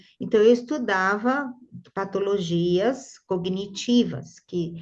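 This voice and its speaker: A woman is speaking. The background is quiet. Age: 60s. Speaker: neuropsychologist and art therapy teacher. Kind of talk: interview conversation. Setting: video call.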